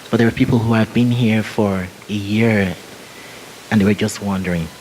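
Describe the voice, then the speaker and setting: Over noticeable background noise, a man with a fairly low pitch talks at a moderate pace with fairly even intonation. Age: 40s. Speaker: panel speaker. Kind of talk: Q&A answer. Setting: conference. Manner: halting.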